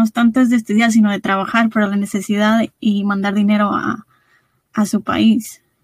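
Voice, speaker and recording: Somewhat breathy and fairly high-pitched, a woman speaks at a fairly quick pace in a dry, close recording with no echo. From Guanajuato, Mexico. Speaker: podcast host. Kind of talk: interview, casual chat.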